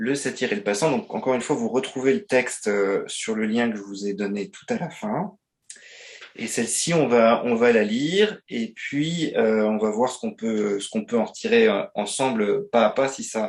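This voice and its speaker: A man speaks at medium pitch with lively intonation. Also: moderate pace. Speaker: business trainer. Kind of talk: webinar presentation. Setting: online webinar. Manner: hesitant, many fillers.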